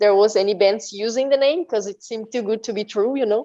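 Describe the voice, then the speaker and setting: A fairly high-pitched woman's voice with a Portuguese accent and ordinary pitch variation. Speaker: metal band musician. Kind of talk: interview. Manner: halting.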